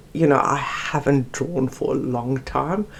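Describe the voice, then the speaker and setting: A woman with a South African accent at a fairly slow pace. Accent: Afrikaans South African. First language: Afrikaans. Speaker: art YouTuber. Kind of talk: casual chat. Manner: halting.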